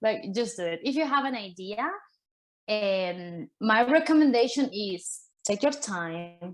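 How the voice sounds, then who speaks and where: A woman with a Spanish accent speaks at a fairly slow pace and a fairly high pitch, her pitch swinging very widely. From Argentina. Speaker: artist. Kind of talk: panel talk. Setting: virtual summit video call.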